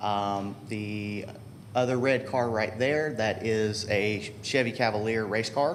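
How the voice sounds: The speech moves at a slow pace. Pitch variation is ordinary. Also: man, fairly low pitch for a man.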